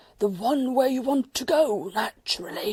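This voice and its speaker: A female-sounding put-on character voice with a fairly high pitch. It comes out raspy and wheezy. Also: moderate pace. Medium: read story.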